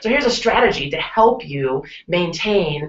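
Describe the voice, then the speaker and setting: This woman's voice sits fairly low in pitch. Her intonation is lively. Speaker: sales coach. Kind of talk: tutorial. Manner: fast.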